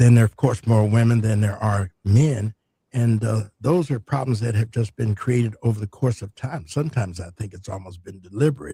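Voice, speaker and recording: A man talks at a fairly quick pace and medium pitch with ordinary pitch variation, his somewhat breathy, dark and mellow voice swinging widely in loudness in a dry, close sound with no echo. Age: 70s. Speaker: retired doctor and medical teacher. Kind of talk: radio interview. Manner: hesitant with frequent fillers.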